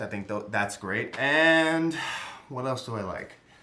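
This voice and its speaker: Here a man speaks with an American accent. His pace is moderate and his pitch variation ordinary. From New York area (part of upbringing in the Bronx). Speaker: YouTuber, film commentator. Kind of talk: casual solo film review. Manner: rambling, hesitant with many fillers.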